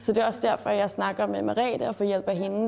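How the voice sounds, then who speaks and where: The voice has a dark, mellow tone and some vocal fry. It moves at a moderate pace with ordinary pitch variation. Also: woman. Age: 20s. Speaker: student and activist speaker. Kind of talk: interview testimony.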